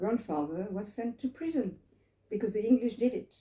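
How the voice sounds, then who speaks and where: Her voice is fairly high yet dark and mellow in tone, somewhat breathy, as the woman speaks with lively intonation at a moderate pace. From France, Paris. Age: 80s+. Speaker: Holocaust survivor. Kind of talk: testimony. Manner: halting.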